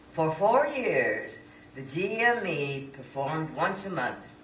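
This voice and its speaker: A woman's voice with very wide pitch swings, audible room echo and noticeable background noise. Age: 80s+. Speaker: senior poet and former performer. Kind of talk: reading aloud own poem.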